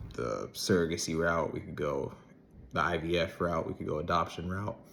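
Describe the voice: A man's low-pitched voice at a moderate pace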